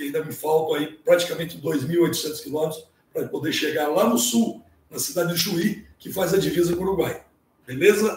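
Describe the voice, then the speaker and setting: Pitched high for a man, his voice moves at a fairly quick pace with ordinary pitch variation and big swings in loudness. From Brazil, São Paulo state coast. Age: 60s. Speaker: ocean kayaker and scout leader. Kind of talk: presentation on a live stream. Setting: live stream. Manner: casual.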